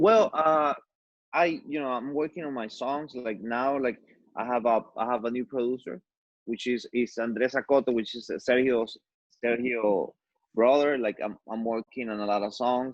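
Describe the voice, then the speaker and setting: His intonation holds fairly even. He talks at a moderate pace. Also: medium pitch for a man. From Ecuador. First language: Spanish. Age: 40s. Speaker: musician. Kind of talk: casual chat. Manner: halting, many repetitions and fillers.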